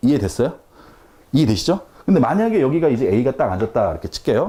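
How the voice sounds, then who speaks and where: Somewhat breathy, with a dark, mellow tone, a man speaks at a very fast pace, his pitch swinging very widely. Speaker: math tutor. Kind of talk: lecture.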